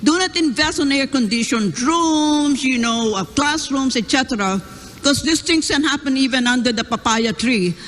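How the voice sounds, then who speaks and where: Noticeable background noise runs under speech that keeps a moderate pace. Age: 70s. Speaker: professor, debate panelist. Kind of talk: panel question.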